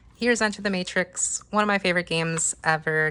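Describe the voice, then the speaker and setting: A woman speaks at a moderate pace with a fairly low pitch. Her tone is bright and sharp, with fairly even intonation. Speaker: gaming YouTuber. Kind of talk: casual show-and-tell vlog.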